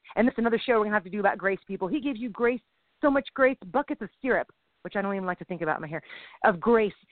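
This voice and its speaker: A woman talks at a very fast pace in a fairly high voice. Her tone is animated and her intonation lively. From Mexican-American. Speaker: comedian and podcast co-host. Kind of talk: casual chat.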